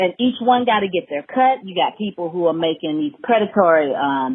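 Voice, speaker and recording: With an American accent, a woman speaks at a moderate pace using very wide pitch swings. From Alabama, US South. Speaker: hemp farmer and business owner. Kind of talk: casual podcast interview. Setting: studio. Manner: animated.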